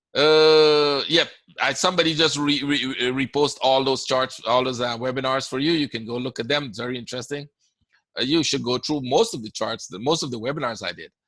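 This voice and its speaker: A man with a Caribbean accent talks at a fairly quick pace. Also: ordinary pitch variation. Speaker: forex trading educator. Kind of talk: webinar Q&A. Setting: online webinar. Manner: casual, conversational.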